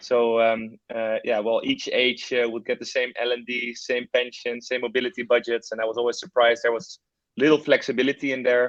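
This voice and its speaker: A man with a Dutch accent at medium pitch, fairly quick pace and monotone, flat intonation, in dry, close sound with no echo over a quiet background. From Netherlands. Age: 30s. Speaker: startup founder and CEO. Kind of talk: webinar presentation. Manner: hesitant, many fillers.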